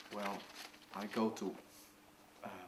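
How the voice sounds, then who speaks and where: With a Dutch accent, a man speaks at a fairly slow pace. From Netherlands. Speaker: video blogger sharing mental health experience. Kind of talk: personal tips talk to camera. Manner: halting, many fillers.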